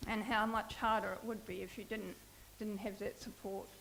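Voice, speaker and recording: Noticeable background noise sits behind a woman with a fairly high pitch, who talks at a moderate pace in a monotone, flat intonation. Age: 60s. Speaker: melanoma patient and social worker. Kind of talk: personal testimony talk. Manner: halting, many fillers.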